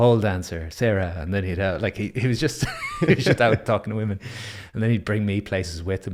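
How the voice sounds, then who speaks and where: A man with an Irish accent talks in a fairly low pitch with lively intonation. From Ireland. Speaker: breathwork instructor. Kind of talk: casual chat.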